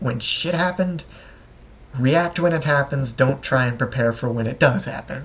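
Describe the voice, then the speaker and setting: A man's somewhat breathy voice shows ordinary pitch variation. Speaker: soldier. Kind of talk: storytelling. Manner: stuttering; casual.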